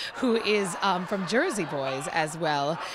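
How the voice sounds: A woman speaks with a fairly bright tone. Faint background noise can be heard.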